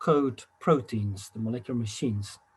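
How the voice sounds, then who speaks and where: A man with a somewhat breathy voice talks at a moderate pace, his pitch varying in an ordinary way. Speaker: physics professor. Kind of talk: lecture. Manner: hesitant, many fillers.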